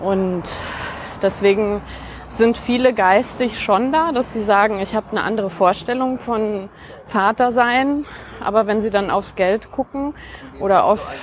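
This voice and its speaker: Amid noticeable background noise, a woman speaks at a fairly high pitch and a fairly slow pace. She uses ordinary pitch variation and takes long, frequent pauses. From Franconia, Germany (near Nuremberg). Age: 40s. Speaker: podcast guest. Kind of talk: casual conversation. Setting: outdoors, walking in a park. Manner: many filler sounds (äh).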